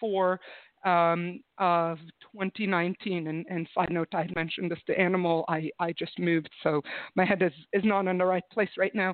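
A woman talks in a normal speaking voice at a medium pitch. Her pace is fairly slow. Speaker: recruiter and HR consultant. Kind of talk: casual interview chat.

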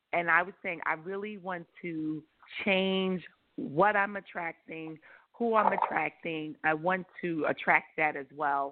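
A woman with an American accent speaks at a fairly slow pace in a fairly low pitch, with ordinary pitch variation and a plain, everyday voice. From New York. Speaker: caller. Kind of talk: phone-in chat.

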